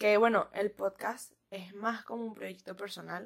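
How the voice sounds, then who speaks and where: The pace is fairly slow as a woman talks. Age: 20s. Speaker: podcast host. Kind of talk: casual monologue. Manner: laughs often.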